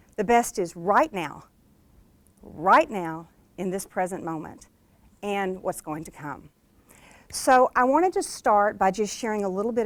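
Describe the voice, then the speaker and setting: Against a silent background on a very clean recording, a woman with an American accent talks at a moderate pace with lively intonation. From US South, Arkansas (Hot Springs). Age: 50s. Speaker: motivational speaker and author. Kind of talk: keynote speech. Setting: stage with audience.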